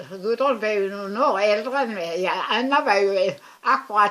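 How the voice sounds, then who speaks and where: Over noticeable background noise, a woman talks at a fairly slow pace. Her pitch is medium and varies in an ordinary way. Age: 90s. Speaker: family elder. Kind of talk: interview. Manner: halting.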